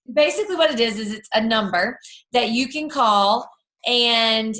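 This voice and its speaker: A loud woman speaks at a fairly high pitch with ordinary pitch variation and a bright, sharp tone. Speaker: team leader for a direct sales group. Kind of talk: team call training talk.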